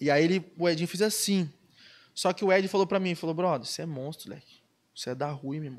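On a very clean recording with a silent background, a man with a high pitch talks at a very fast pace, with ordinary pitch variation and big swings in loudness. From Brazil, Ubatuba (São Paulo coast). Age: 20s. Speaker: professional surfer. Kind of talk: casual chat.

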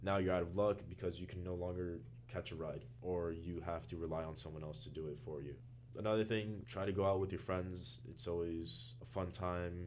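A man with an American accent speaks in a very deep, low voice at a moderate pace. His pitch varies in an ordinary way, with audible room echo and noticeable background noise. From Florida, Miami. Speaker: college student. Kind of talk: casual interview.

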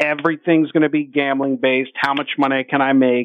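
A man speaks in a plain, everyday voice, his fairly high pitch moving with ordinary variation. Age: 50s. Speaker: sports betting radio host. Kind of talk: casual chat. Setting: studio.

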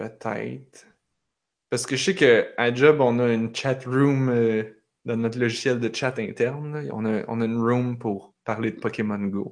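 Pitched at a medium level, a man talks at a fairly slow pace. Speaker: podcast host. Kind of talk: casual chat. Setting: video call. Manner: animated.

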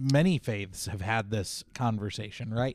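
A man with an ordinary speaking voice, ordinary pitch variation and a fairly slow pace, in a dry, close sound with no echo. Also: very clean recording, silent background. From US, moved to eastern Oregon recently. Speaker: podcast co-host. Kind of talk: casual chat.

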